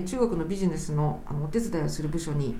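There is audible room echo in the recording, plus noticeable background noise. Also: woman. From Japan, Kanagawa Prefecture. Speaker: lawyer. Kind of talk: interview conversation.

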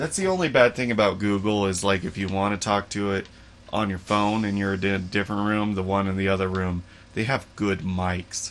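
Delivered at a fairly quick pace, a normal speaking voice keeps its intonation fairly even. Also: man, fairly low pitch for a man. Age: 30s. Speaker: podcast host. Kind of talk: casual chat.

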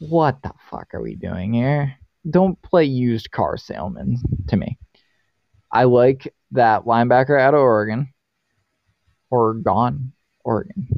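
A man with an American accent at medium pitch, fairly slow in pace, with ordinary pitch variation and long, frequent pauses. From Boston. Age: 20s. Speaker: podcast host. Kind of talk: casual chat. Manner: animated.

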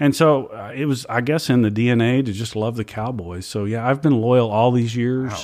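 A man with an American accent speaks at a medium pitch in an unremarkable speaking voice, with hardly any pauses. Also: moderate pace. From Louisiana, US South. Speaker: state music education administrator. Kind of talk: interview.

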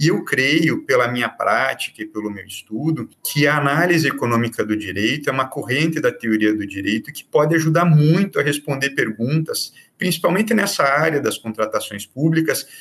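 Lively intonation marks this man's fairly high voice, delivered at a moderate pace. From Brazil, Curitiba (Paraná). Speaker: public prosecutor. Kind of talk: interview on law. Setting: remote recording. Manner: halting, many fillers.

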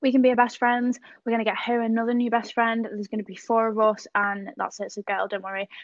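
A woman with an English accent speaks very fast with hardly any pauses, her fairly high pitch held in a monotone, flat intonation. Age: 20s. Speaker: podcast co-host. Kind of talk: casual chat.

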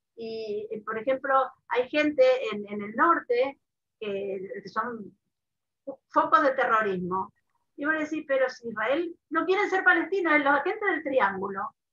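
Her tone bright and sharp, a woman speaks at a fairly slow pace and a high pitch in a raised, projected voice with very wide pitch swings. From Argentina (Mendoza). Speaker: online advocacy founder, writer. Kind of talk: interview.

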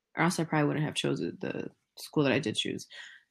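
The recording is very clean and the background silent. The speaker is a woman with an American accent. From California. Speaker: podcast co-host, PhD student. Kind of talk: casual chat.

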